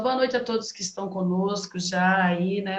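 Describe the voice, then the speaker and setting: A woman talks fairly slowly, her voice set at a medium pitch. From São Paulo state, Brazil. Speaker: teacher hosting a reading group live. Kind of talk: live stream chat. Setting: video call live stream. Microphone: echo on the line.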